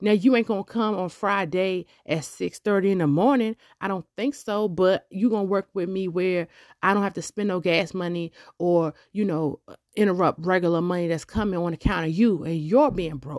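At a moderate pace, a woman speaks in an animated tone at a medium pitch with ordinary pitch variation. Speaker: podcast host and hairdresser. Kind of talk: opinion monologue. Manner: loud.

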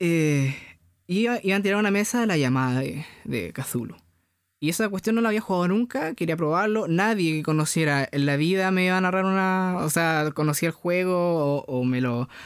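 Recorded very cleanly against a silent background, a man with a Chilean accent and a high pitch talks at a moderate pace with lively intonation and very even loudness. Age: 20s. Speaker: podcast co-host. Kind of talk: casual chat.

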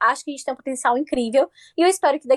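A woman with a Bahian accent speaks at a very fast pace. Her voice is high-pitched with ordinary pitch variation. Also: dry, close sound with no echo. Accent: Bahian Brazilian Portuguese. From Bahia, Brazil. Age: 20s. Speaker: journalist and content creator. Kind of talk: casual chat.

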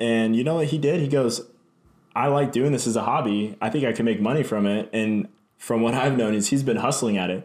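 A man talks at a fairly quick pace in an unremarkable speaking voice, medium in pitch with ordinary pitch variation. His loudness stays very even throughout. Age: 20s. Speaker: podcast co-host. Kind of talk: casual chat.

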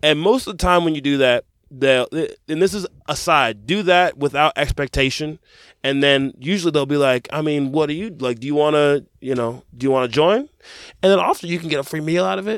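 Speaking at a fairly quick pace, a man uses a fairly high pitch with ordinary variation, recorded with a dry, close sound and no echo. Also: very clean recording, silent background. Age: 20s. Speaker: podcast co-host. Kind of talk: casual chat. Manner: halting.

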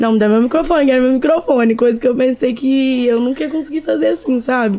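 Noticeable background noise sits behind a woman with a high voice. She speaks at a fairly quick pace with lively intonation. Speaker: DJ and music producer. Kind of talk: podcast interview.

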